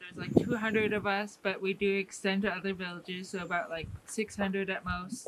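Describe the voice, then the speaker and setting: Amid noticeable background noise, a woman talks at a medium pitch in a monotone, flat way. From Alaska (Fairbanks), Athabascan Native. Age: 20s. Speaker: Native cultural interpreter and bead artist. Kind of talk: cultural talk to a tour group. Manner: hesitant, many filler ums.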